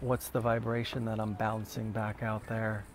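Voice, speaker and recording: In an American accent, a man talks at a medium pitch with monotone, flat intonation. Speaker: meditation teacher. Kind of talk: guided meditation. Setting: live video stream. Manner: soft-spoken.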